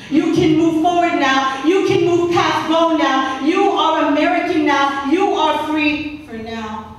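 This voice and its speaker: Fairly slow speech in strong room echo. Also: woman. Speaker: spoken word poet. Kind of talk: spoken word poetry performance.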